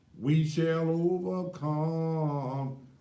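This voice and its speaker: Audible room echo around a man's fairly high voice, dark and mellow in tone. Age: 60s. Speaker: talk show host. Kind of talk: live talk show monologue. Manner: animated.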